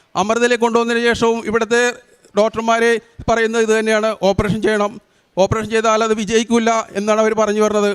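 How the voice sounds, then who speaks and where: This man's high-pitched voice stays monotone, with flat intonation. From Kerala, Kochi area. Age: 50s. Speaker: pilgrim giving faith testimony. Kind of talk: testimony.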